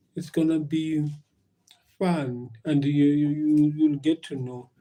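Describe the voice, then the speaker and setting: Speaking with a South African accent, a man uses a fairly high voice with a dark, mellow tone and fairly even intonation. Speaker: live streamer. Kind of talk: casual live stream chat. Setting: live stream at work. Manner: halting, many fillers and repetitions.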